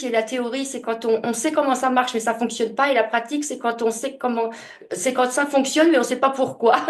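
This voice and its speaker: The woman's voice is pitched high. Her intonation is fairly even. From France, Franche-Comté (Besançon). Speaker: author, speaker and medium. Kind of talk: interview testimony. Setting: podcast interview. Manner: hesitant, many fillers and repetitions.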